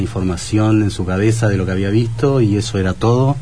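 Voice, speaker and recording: A man at a moderate pace with fairly even intonation, amid noticeable background noise and audible room echo. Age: 40s. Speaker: tattoo artist. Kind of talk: radio interview.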